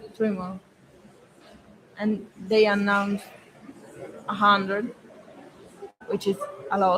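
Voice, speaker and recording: A speaker with a non-native accent talks at a fairly slow pace, leaving long, frequent pauses. Noticeable background noise runs underneath. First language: not English. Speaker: freediving athlete. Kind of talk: interview. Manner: halting.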